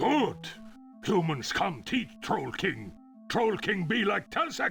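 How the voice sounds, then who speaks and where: Using a put-on character voice, a man speaks at a high pitch and a fairly slow pace while clear music plays in the background. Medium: game stream. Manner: clipped broken speech.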